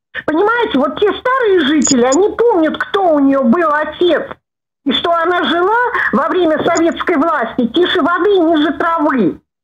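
The speech runs at a moderate pace with lively intonation and very even loudness. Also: woman, extremely high pitch for a woman. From Russia. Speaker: caller. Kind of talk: call-in comment. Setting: phone call. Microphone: video call.

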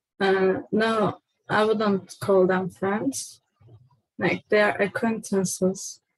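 In a quiet background with a dry sound and no echo, a woman speaks at a very slow pace and medium pitch, somewhat breathy, with fairly even intonation and very even loudness. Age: 20s. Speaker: person seeking personality typing. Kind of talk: personal testimony. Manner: halting, many fillers. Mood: quiet, hesitant, reflective. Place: home room. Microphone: webcam.

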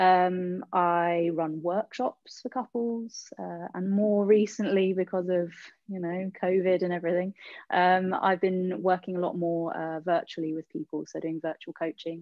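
A woman speaks at a fairly slow pace with fairly even intonation. The sound is dry with no echo against a quiet background. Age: 30s. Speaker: bodyworker and intimacy coach. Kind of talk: interview. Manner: halting, many fillers and repetitions. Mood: warm, relaxed. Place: home room. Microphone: video call.

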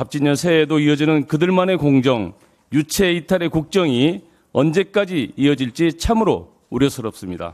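A man speaks at a fairly high pitch and moderate pace, with lively intonation and very even loudness. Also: quiet background. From South Korea. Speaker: politician. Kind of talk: prepared political speech. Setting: party leadership meeting. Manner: formal. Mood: critical, firm. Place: meeting room. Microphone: podium.

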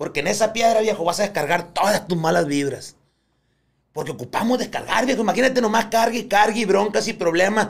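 A man speaks at a fairly quick pace with a high pitch. His pitch varies in an ordinary way, and the background is quiet. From Colombia (Barranquilla); Colombia. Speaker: clinical psychologist, former prison psychologist. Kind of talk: casual chat. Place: studio. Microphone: studio mic.

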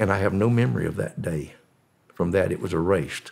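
Using lively intonation, a man with a Southern US accent talks at a moderate pace in a very deep, low pitch. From US South. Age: 80s+. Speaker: former drug smuggler. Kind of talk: storytelling interview.

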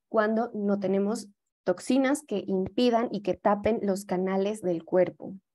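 A woman's dark, mellow voice at a fairly slow pace. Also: medium pitch for a woman, fairly even intonation. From Mexico. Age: young. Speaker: yoga teacher and holistic health advisor. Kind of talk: lecture. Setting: video call.

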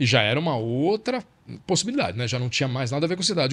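The speaker sounds somewhat breathy, with lively intonation. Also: man. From Brazil. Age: 50s. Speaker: journalist and author. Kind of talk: casual chat.

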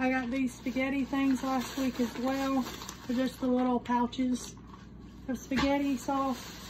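At a fairly slow pace, the speech comes in monotone, flat intonation with very even loudness over noticeable background noise. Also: woman, high pitch for a woman. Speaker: vlogger. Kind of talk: casual talk to camera. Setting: home recording with microphone. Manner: projected, louder than before. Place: home room.

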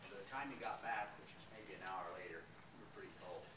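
A man speaks fairly quickly, his pitch varying in an ordinary way, with loud noise all around. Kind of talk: slide presentation talk. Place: meeting room. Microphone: camera far.

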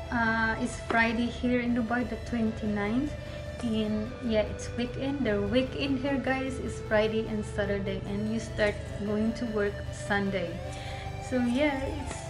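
Fairly slow female speech against clear background music. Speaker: travel vlogger. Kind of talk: casual vlog chat. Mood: cheerful, laughs often. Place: home room. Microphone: phone near.

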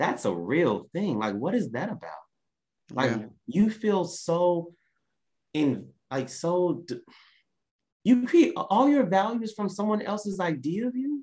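Against a quiet background, a man with an Oklahoma accent and a high pitch with very wide swings speaks at a fairly slow pace with long, frequent pauses. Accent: Oklahoma Southern American. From US South. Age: 30s. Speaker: business coach; podcast guest. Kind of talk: casual chat. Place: home room. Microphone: video call.

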